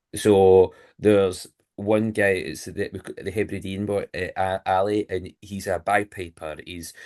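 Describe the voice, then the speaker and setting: A man with a Lanarkshire accent speaks fairly slowly at a fairly low pitch in monotone, flat intonation, his loudness swinging widely, with a dry, close sound and no echo against a quiet background. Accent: Scottish (Lanarkshire). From Scotland, Motherwell. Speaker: funeral and wedding celebrant. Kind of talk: podcast interview. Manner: direct.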